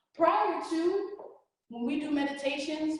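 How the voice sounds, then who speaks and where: This is a woman speaking. There is audible room echo. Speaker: reiki practitioner and energy coach. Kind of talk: workshop presentation. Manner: fast; casual, informal.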